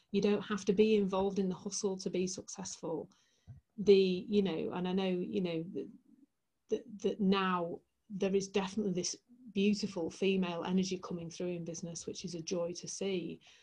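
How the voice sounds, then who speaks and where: Somewhat breathy, flat monotone speech from a woman with a Yorkshire accent, dark, mellow tone, medium pitch and moderate pace. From West Yorkshire, Leeds. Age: 40s. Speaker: transformational coach. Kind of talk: interview storytelling.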